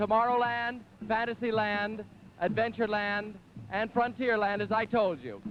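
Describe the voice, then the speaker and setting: High-pitched male voice. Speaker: TV host. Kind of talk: live TV event commentary. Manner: enthusiastic.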